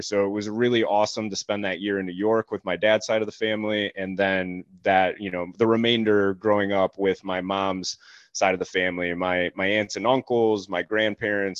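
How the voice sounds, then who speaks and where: Talking at a fairly quick pace, a man with a plain, everyday voice keeps his fairly low pitch fairly even in intonation. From moved around the US Northeast and Ohio as a child, ending up in Cleveland. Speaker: coach and military veteran. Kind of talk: casual interview.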